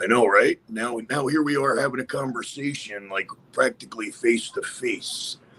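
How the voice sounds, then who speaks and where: A man is talking at a moderate pace. Noticeable background noise runs underneath. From Westchester, New York. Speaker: podcast host. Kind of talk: casual chat. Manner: animated.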